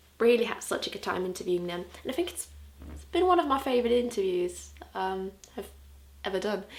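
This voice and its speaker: At a fairly quick pace, the speech has big swings in loudness and long, frequent pauses, with audible room echo and noticeable background noise. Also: woman. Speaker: music blogger and video host. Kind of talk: casual video recap. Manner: animated.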